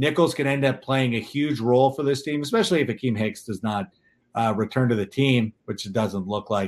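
In a normal speaking voice, a man talks at a fairly quick pace and medium pitch with ordinary pitch variation against a quiet background. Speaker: podcast host. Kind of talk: casual sports chat.

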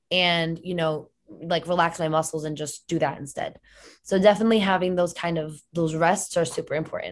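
In an American accent, a woman talks at a fairly quick pace with a fairly low pitch and fairly even intonation. It is an unremarkable speaking voice, set against a quiet background. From Connecticut. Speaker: health and fitness coach. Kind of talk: casual interview chat. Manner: casual, filler-heavy.

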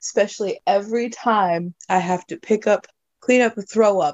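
At a moderate pace, a woman talks with lively intonation in an unremarkable speaking voice. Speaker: guest. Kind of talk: casual chat.

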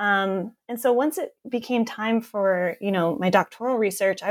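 Recorded very cleanly against a silent background, a woman with a New York State accent talks at a moderate pace with medium pitch and ordinary pitch variation. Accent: American (New York State). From upstate New York (Southern Tier). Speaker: professor and author. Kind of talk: interview.

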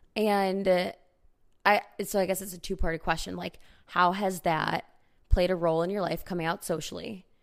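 In a very clean recording with a silent background, a woman with a fairly low pitch and a strong Chicago accent talks at a moderate pace in an animated tone, leaving long, frequent pauses. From Chicago area, US Midwest. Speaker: podcast host. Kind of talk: casual chat between friends. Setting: recording at home, on apartment floor. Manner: animated, laughs often.

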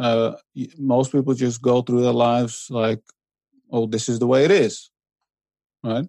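Speaking with a Dutch accent at a medium pitch, a man uses a dark, mellow tone, a fairly slow pace, fairly even intonation and long, frequent pauses. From Netherlands, to Iranian immigrant parents. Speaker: author and blogger. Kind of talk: interview. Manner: hesitant, many fillers.

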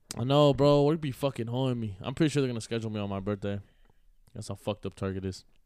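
A man with a dark, mellow tone talks at a very fast pace using ordinary pitch variation. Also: medium pitch for a man. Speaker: podcast co-host. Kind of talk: casual chat.

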